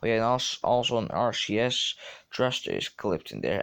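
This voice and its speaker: A man with a Dutch accent talks at a moderate pace in a medium pitch, with vocal fry. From Netherlands. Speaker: gaming youtuber. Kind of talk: tutorial. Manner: halting.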